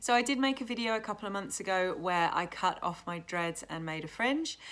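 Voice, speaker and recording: A woman with a British accent at a moderate pace, in a very clean recording with a silent background. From England. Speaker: YouTuber, tattoo artist. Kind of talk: casual vlog talk to camera.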